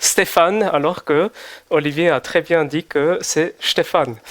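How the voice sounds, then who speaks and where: In a Swiss German accent, a man speaks at a high pitch with ordinary variation. His pace is fairly slow, and the sound is dry and close with no echo. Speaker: visiting preacher. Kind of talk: sermon. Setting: church service. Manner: hesitant with fillers.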